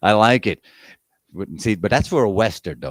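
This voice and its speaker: A man's vocal fry at a fairly quick pace, dry and close with no echo. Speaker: livestream radio host. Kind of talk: casual chat. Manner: fast.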